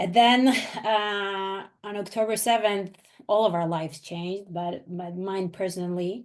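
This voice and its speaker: Fairly slow speech in an Israeli accent, with fairly even intonation. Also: woman, medium pitch for a woman. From Israel and US. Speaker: venture capital investor. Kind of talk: webinar presentation.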